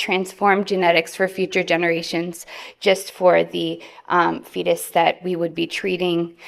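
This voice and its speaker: A woman speaks with an American accent at a medium pitch. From New York. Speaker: physician researcher. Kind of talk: conference presentation. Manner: fast.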